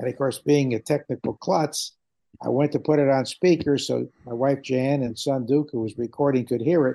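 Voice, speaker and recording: This man has a dark, mellow tone at a medium pitch, with ordinary pitch variation and an American accent. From Connecticut, New Haven area. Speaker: baseball radio broadcaster. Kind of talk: interview, reminiscing.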